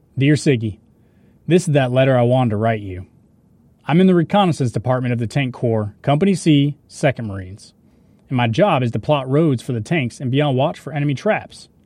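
With an unremarkable speaking voice, a man at medium pitch talks at a fairly quick pace with lively intonation. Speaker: actor reading a Marine's wartime letters. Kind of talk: reading letters aloud.

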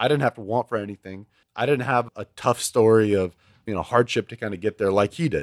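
With an American accent, a man has a plain, everyday voice, medium in pitch with ordinary pitch variation and a fairly quick pace. The recording is very clean, dry and close, with a silent background and no echo. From Houston, Texas. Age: 20s. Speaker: oil and gas executive. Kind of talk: casual chat.

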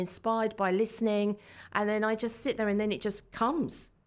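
An ordinary speaking voice at a fairly quick pace, in a very clean recording with a silent background. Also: woman. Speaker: coach and consultancy founder. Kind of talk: casual chat.

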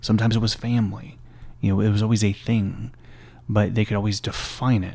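With an American accent, a man talks at a moderate pace in a fairly low pitch. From small-town Texas. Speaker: former army chaplain. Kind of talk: casual interview.

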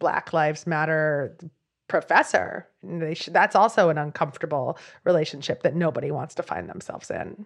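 A woman's fairly low, a normal speaking voice, with an American accent, fairly even intonation, and a moderate pace against a quiet background. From Philadelphia. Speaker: journalist, author and podcaster. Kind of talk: interview conversation. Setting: video call.

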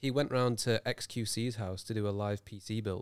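A man with a Birmingham accent, a fairly low pitch and fairly even intonation, on a very clean recording with a silent background. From Birmingham, England. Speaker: podcast co-host. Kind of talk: casual banter between co-hosts. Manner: joking, playful.

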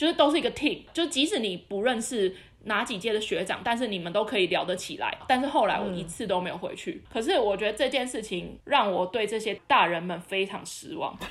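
Her pitch fairly high and her intonation lively, a woman talks at a fairly quick pace with hardly any pauses. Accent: Taiwanese. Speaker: podcast co-host. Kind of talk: casual chat.

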